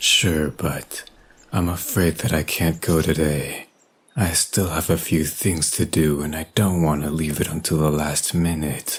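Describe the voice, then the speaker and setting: This man puts on a character voice with a very deep, low pitch, speaking at a moderate speed. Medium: audio drama. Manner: polite, reserved.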